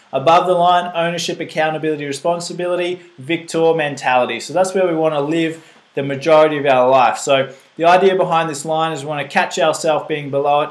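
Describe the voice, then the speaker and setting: Very fast speech from a man with a fairly high pitch and an Australian accent. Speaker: fitness coach presenting a nutrition seminar. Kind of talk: live seminar talk. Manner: animated.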